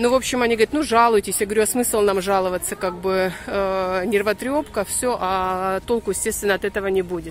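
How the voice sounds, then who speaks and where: Recorded dry with no echo over light background noise, a woman speaks with fairly even intonation. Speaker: vlogger filming her walk. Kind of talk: casual vlog chat. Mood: annoyed storytelling, wry. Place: street. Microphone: phone near.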